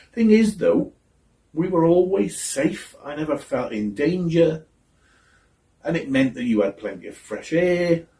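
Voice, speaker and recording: Somewhat breathy, a man speaks at a fairly high pitch in a dark, mellow tone. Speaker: actor. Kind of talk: theatre monologue.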